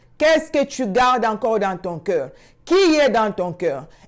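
Against a quiet background, a woman speaks in a high voice. She takes a fairly slow pace. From Congo. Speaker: prayer channel host. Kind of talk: sermon. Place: home room. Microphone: lapel.

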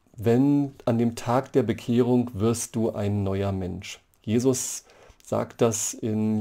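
A man speaks very slowly in a dark, mellow tone with fairly even intonation. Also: quiet background. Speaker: church history professor. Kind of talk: lecture. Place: home room. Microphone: webcam.

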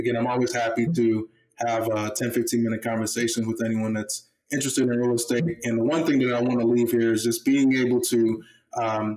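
A man with an American accent and a dark, mellow tone speaks at a fairly quick pace against a quiet background. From Baltimore, Maryland. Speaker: former pro football player, real estate investor; podcast guest. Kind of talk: podcast interview; interview answer. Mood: friendly, relaxed. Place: home room. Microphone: webcam.

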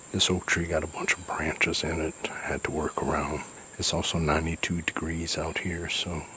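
A man's very deep, low voice in a flat monotone, with light background noise. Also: moderate pace, dry sound with no echo. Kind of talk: casual vlog chat. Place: forest. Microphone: phone near.

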